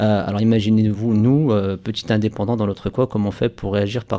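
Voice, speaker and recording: Over a very clean recording with a silent background, a man with a North African accent speaks at a fairly quick pace in a fairly low pitch, with a dark, mellow tone and monotone, flat intonation. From France, Saint-Étienne. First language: Berber (speaking French). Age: 30s. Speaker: entrepreneur. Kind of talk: radio interview. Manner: hesitant, many repeated words.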